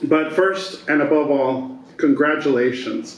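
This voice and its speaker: There is audible room echo and noticeable background noise as a man speaks with fairly high pitch. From US Southwest, El Paso, Texas border. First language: Spanish. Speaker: keynote speaker. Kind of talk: ceremony speech. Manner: halting, frequent fillers and repeats.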